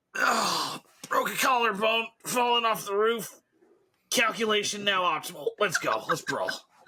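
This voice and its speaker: This man puts on a character voice pitched high. He talks at a moderate pace. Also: ordinary pitch variation. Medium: game stream.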